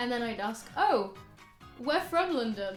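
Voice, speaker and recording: Very wide pitch swings from a woman, with music playing behind her. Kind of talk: casual talk to camera.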